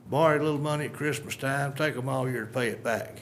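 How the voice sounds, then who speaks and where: A man speaks with an East Texas accent, and audible room echo follows his voice. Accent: East Texas Southern drawl. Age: 60s. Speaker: local resident speaking at public hearing. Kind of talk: public comment at county budget hearing. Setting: county commissioners court meeting.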